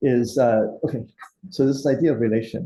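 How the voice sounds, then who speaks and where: Using a dark, mellow tone with vocal fry, a man speaks at a medium pitch and a moderate pace with ordinary pitch variation. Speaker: seminar instructor. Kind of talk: lecture.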